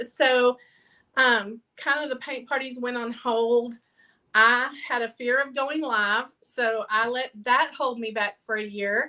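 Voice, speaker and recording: A woman with a strong Southern Texas accent speaks in a high, bright, sharp voice at a fairly slow pace with fairly even intonation. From Texas, near Fort Worth. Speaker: mobile paint party business owner. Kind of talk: interview. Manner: casual, with many fillers.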